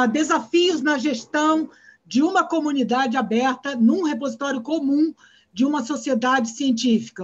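A woman with a Brazilian accent at a high pitch, with ordinary pitch variation, over a quiet background. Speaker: conference session moderator. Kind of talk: event moderation. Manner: animated. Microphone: webcam.

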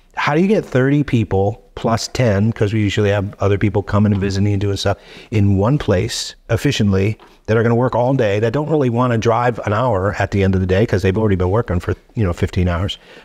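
A man with a fairly low pitch speaks at a very fast pace. His loudness stays very even and his pitch varies in an ordinary way against a quiet background. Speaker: podcast guest. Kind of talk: interview answer. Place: studio. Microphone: studio mic.

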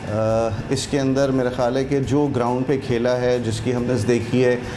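A man's medium-pitched voice at a moderate pace, with little pitch movement and clear background noise.

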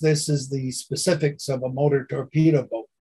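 In a Canadian accent, a man speaks with a dark, mellow tone that is somewhat breathy. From Montreal, Quebec. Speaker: stamp collector and postal historian. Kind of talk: presentation. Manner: halting, many fillers.

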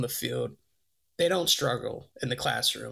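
A man talks with vocal fry. The background is quiet. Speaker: college football recruiting analyst. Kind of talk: casual sports interview chat. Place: home room. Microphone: webcam.

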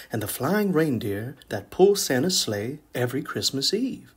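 Very clean recording, silent background: a man speaks at a fairly high pitch with very wide pitch swings. His voice is somewhat breathy. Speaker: children's story reader. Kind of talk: read-aloud children's story.

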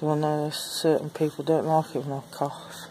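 With faint background noise, a woman with a low pitch and a dark, mellow tone speaks at a moderate pace with little pitch movement.

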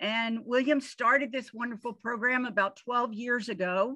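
The tone is bright and sharp, with fairly even intonation. It moves at a fairly slow pace against a quiet background. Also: woman. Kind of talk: presentation talk. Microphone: video call.

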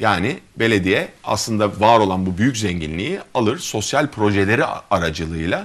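The speaker is male. He talks at a moderate speed. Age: 40s. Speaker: gynecologist and mayoral candidate; candidate. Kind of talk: interview. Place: studio. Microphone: lapel.

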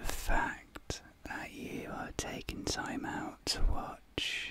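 The man speaks only in a whisper. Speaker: ASMR creator. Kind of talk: soft-spoken ASMR personal attention. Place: home room. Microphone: studio mic.

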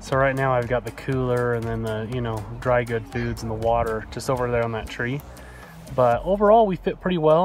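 At a fairly quick pace, a man speaks with ordinary pitch variation, the sound dry with no echo and faint music in the background. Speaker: camping vlogger. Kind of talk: casual vlog chat. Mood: relaxed, pleased. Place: forest. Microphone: phone near.

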